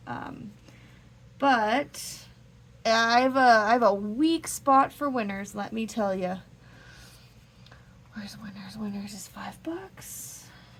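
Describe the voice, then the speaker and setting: Very slowly and with long, frequent pauses, a woman speaks in a somewhat breathy, fairly high voice. Her pitch varies in an ordinary way while her loudness swings widely. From Canada. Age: 30s. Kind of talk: casual talk to camera.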